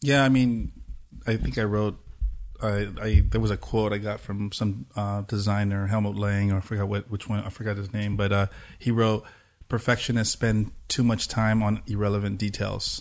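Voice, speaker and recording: Against a quiet background, a man speaks at a moderate pace with a fairly low pitch and fairly even intonation. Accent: Southern Californian. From US West Coast, Pomona, East Los Angeles. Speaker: techno producer and DJ. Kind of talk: casual interview chat.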